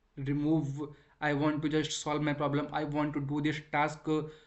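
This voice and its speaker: The man speaks in a fairly high pitch. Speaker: self-improvement vlogger. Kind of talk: motivational talk. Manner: halting, many fillers and repeats.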